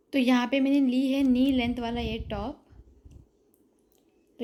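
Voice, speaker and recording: Fairly even intonation in a woman's high-pitched speech. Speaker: vlogger. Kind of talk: casual vlog, shopping haul. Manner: halting, with hesitations.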